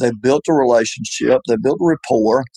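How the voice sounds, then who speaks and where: In a Southern US accent, a man talks at a medium pitch with a dark, mellow tone, ordinary pitch variation and a dry, close sound with no echo. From US South. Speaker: retired insurance agency owner. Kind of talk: interview.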